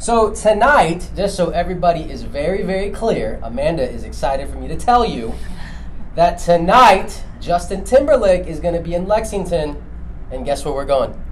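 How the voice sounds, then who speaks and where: Speech at a moderate pace against noticeable background noise. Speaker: wellness clinic livestream co-host. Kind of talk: casual chat. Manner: loud.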